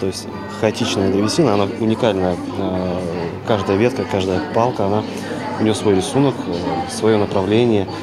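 Against clear crowd noise and clear music in the background, a man speaks at a moderate pace with few pauses, a fairly low pitch and fairly even intonation.

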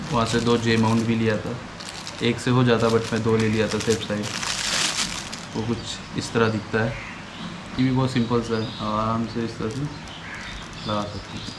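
Over clear background noise, a man talks at a moderate pace in a fairly low pitch, his voice showing little pitch movement and stopping often for long pauses.

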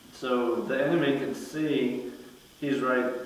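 A man speaks with fairly even intonation. Strong room echo surrounds his voice. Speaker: martial arts instructor. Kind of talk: tutorial. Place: garage.

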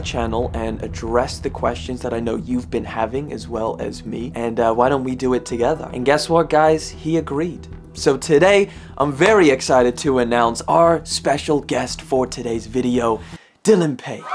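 A man talks at a moderate pace with very wide pitch swings while music plays in the background. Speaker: video creator. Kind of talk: casual vlog chat. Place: home room.

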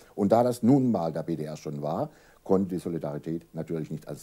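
Marked by vocal fry, this dark, mellow voice moves at a fairly quick pace with lively intonation. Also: man. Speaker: association official, interviewee; interviewee. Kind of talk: formal interview answers. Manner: formal, serious, explanatory. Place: home room.

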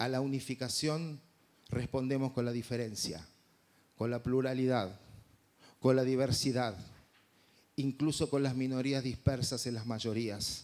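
Long, frequent pauses break up a man's speech at a fairly slow pace. His voice is medium in pitch with fairly even intonation. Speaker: festival presenter; presenter. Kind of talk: formal opening speech. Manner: formal, measured. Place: hall. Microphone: handheld.

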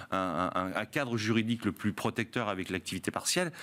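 The speaker is a man. His pitch is fairly low. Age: 50s. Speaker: hospitality trade union leader; guest. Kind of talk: panel debate. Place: studio. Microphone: studio mic.

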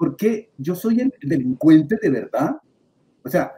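The man's voice has a dark, mellow tone. His pitch is fairly high. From Colombia, Boyacá (Andean highlands). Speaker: media and communication expert. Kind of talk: panel discussion.

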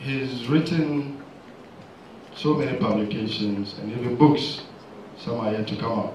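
A man at a fairly slow pace with long, frequent pauses and ordinary pitch variation, audible room echo and light background noise around him. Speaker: pharmacist and seminar chair. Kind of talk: seminar introduction and commentary. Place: hall.

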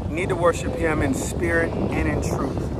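A man's voice competes with loud noise in the background. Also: dry sound with no echo. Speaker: kayak fishing vlogger. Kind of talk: casual vlog chat, devotional talk. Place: boat. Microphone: phone near.

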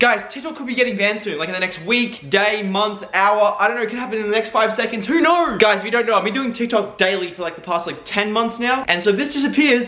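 A raised, projected voice goes at a very fast pace. Audible room echo surrounds it. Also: man. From Australia. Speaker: TikTok creator and vlogger. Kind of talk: casual talk to camera. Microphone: phone near.

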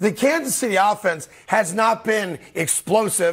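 The background stays quiet while a man talks. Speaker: talk show host. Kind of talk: sports commentary. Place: studio. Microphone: lapel.

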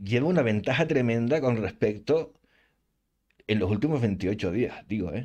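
At a fairly slow pace, a man with a Canarian accent speaks at medium pitch with lively intonation. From Canary Islands, Spain. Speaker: gaming youtuber. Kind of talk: channel announcement monologue. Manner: casual, hesitant with fillers.

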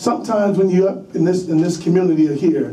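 A man at a very fast pace with fairly even intonation, audible room echo and light background noise. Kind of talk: public testimony. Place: meeting room.

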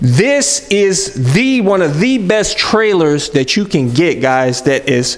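The speaker talks at a very slow pace. Their pitch swings very widely. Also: man. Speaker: motovlogger. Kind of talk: casual vlog chat. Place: garage.

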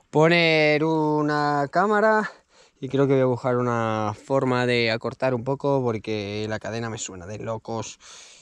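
At a fairly slow pace, a man talks over a quiet background, the sound dry with no echo. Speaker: cycling vlogger. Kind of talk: casual vlog chat. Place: open country. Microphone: phone near.

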